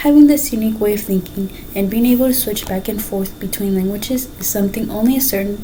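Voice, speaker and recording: A woman talks at a fairly quick pace with ordinary pitch variation. Audible room echo and noticeable background noise surround her voice. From Mexico. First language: Spanish. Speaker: student. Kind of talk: class speech. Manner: halting.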